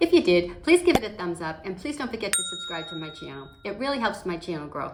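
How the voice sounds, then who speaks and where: Over noticeable background noise, a woman of medium pitch races along at a very fast pace with hardly any pauses, very wide pitch swings and big swings in loudness. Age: 60s. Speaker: makeup vlogger. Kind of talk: tutorial. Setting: at home. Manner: casual, conversational with fillers.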